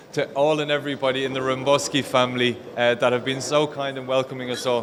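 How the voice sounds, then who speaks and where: Noticeable background noise fills the recording. The talking moves at a fairly quick pace. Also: man. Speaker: wedding guest giving a speech. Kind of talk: wedding speech. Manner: halting.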